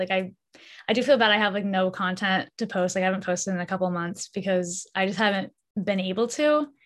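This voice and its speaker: A woman with an American accent speaks at a fairly quick pace in a normal speaking voice at medium pitch. The recording is very clean, with a silent background. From US Northeast (Massachusetts). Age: 20s. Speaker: YouTuber and college student. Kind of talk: casual interview.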